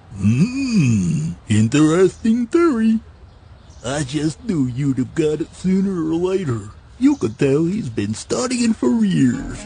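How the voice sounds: In a cartoonish character voice, a man speaks at a fairly slow pace with a fairly high pitch and very wide pitch swings.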